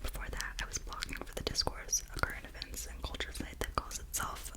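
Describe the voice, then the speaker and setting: Whispering at a moderate pace, a woman speaks. There is noticeable background noise. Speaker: ASMR creator. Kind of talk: ASMR book reading. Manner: whispered, soft.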